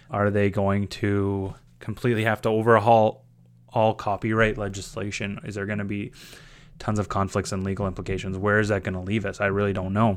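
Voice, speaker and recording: In a Canadian prairie accent, a man speaks with flat, monotone intonation and a fairly low pitch on a very clean recording with a silent background. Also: fairly quick pace. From Saskatchewan, Canada (small town). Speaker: teacher and graduate student. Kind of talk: scripted narration. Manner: casual, with fillers.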